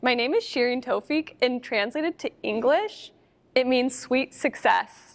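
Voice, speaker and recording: A woman speaks in a high pitch with an American accent. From California, US. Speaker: artist. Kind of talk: panel discussion Q&A.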